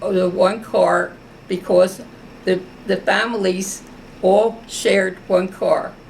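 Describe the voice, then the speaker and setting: A woman with an American accent at a fairly slow pace over noticeable background noise. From US Northeast, South Philadelphia. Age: 90s. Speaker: war veteran. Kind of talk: oral history interview.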